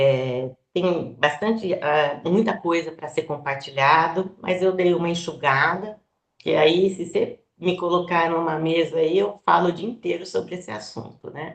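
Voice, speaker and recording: Her pitch fairly low, a woman speaks at a fairly slow pace with ordinary pitch variation. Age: 60s. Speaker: biologist and florist. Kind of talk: presentation to online community. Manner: hesitant, many fillers.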